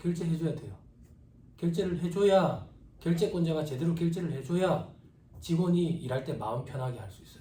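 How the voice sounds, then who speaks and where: A man speaks with lively intonation and a dark, mellow tone. Audible room echo fills the recording. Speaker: tax practice lecturer. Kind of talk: lecture. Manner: casual, conversational.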